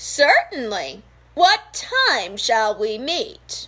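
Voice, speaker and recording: A female-sounding voice puts on a character voice, high in pitch for a woman. She talks at a very slow pace. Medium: read story.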